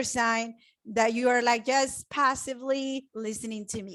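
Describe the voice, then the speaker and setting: In a Spanish accent, a woman speaks with a high pitch and a bright, sharp tone. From Mexico. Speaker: web designer and real estate investor. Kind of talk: online training presentation. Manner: animated.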